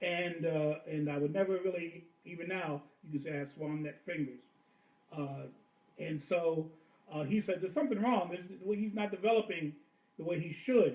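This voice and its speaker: A man talks at a high pitch and a moderate pace. His pitch varies in an ordinary way, with long, frequent pauses. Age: 60s. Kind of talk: casual chat. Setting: livestream.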